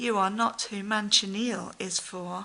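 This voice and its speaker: A woman talks at a fairly slow pace and medium pitch in a put-on character voice. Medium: read story.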